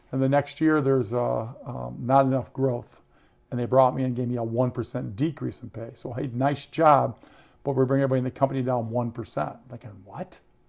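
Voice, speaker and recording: With an American accent, a man of medium pitch talks at a fairly quick pace, his intonation fairly even but his loudness swinging widely. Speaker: entrepreneur and author. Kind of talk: interview. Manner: fast.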